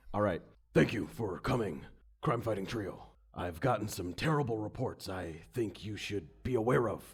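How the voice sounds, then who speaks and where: A man's raspy, put-on character voice, fairly low in pitch, with lively intonation at a moderate pace. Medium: actual play. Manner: earnest, official.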